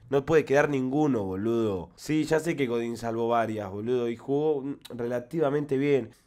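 With an Argentine accent, a man speaks at a moderate pace in a dark, mellow tone, with ordinary pitch variation over a quiet background. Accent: Rioplatense Argentine Spanish. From Argentina. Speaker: football fan commentator. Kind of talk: angry fan rant. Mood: frustrated, angry rant. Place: home room. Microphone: studio mic.

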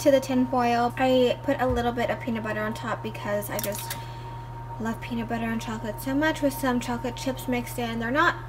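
A woman talks at a fairly quick pace with clear music playing in the background. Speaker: vlogger. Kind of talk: casual vlog chat. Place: home room. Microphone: phone near.

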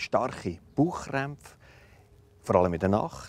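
A man with a Swiss accent speaks with ordinary pitch variation in a dry sound with no echo. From German-speaking Switzerland. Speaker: doctor visiting a patient. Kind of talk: explanation to a patient, partly narration. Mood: calm, reassuring.

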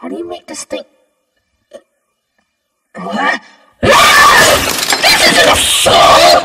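Clear echo surrounds a put-on character voice that moves very slowly, with long, frequent pauses. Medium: dub. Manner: mock-cheerful turning menacing.

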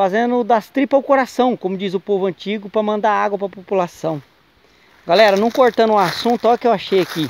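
The man's voice is high-pitched with ordinary pitch variation, and the sound is dry with no echo. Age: 40s. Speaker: vlogger, water sector worker. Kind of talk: casual vlog narration. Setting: outdoors in a wooded area. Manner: animated. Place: forest. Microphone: phone near.

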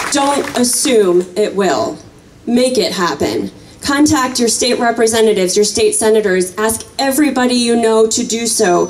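A passionate woman's voice in an American accent, fairly high-pitched, with lively intonation, a moderate pace and light background noise. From US Midwest. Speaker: gun violence prevention activist; speaker. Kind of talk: rally speech, rousing call to action. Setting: outdoor rally with crowd. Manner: passionate, urgent, crowd-pumping. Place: open country. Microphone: camera far.

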